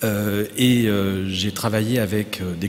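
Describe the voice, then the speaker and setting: A man with a fairly low voice talks in fairly even tones while noticeable background noise carries on. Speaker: anthropologist. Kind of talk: panel introduction.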